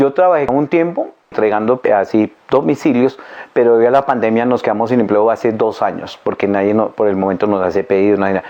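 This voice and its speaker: A man's medium-pitched voice at a very fast pace, with very even loudness, ordinary pitch variation and noticeable background noise. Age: 60s. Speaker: unemployed older worker, interviewee. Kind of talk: testimony.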